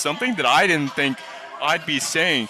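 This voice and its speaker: A man's lively, up-and-down intonation at a moderate pace over background music. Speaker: sports commentator. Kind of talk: basketball color commentary.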